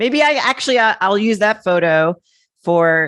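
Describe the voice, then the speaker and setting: Over a quiet background, a woman at a medium pitch speaks at a fairly slow pace, her pitch swinging very widely. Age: 40s. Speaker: podcast host. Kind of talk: casual chat.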